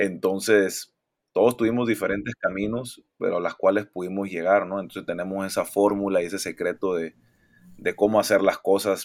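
A man with a plain, everyday voice speaks at a moderate pace and a fairly low pitch. The recording is very clean, with a silent background. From Mexico (Monterrey) and Panama. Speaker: professional basketball player. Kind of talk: interview.

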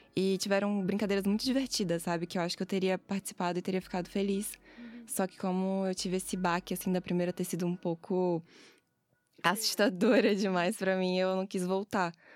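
The recording is very clean, with a silent background and a dry, close sound with no echo. A woman speaks in a monotone, flat way. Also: medium pitch for a woman, fairly quick pace. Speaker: student podcast coordinator. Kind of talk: casual chat.

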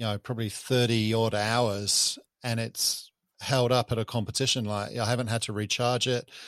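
In a very clean recording with a silent background and a dry, close sound with no echo, a man speaks with fairly even intonation. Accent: New Zealand. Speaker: podcast host. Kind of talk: casual chat.

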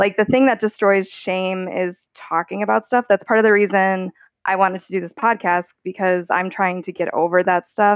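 A woman with an unremarkable speaking voice talks at a moderate pace and medium pitch with fairly even intonation. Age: 30s. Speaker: person living with type 1 diabetes. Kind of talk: casual interview.

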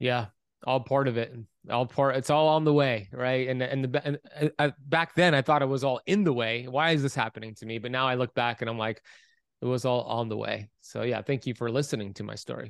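In a dry, close recording with no echo, a man with an ordinary speaking voice talks at a fairly quick pace, medium in pitch with ordinary pitch variation. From US, Miami Florida. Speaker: author and health coach. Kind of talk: interview.

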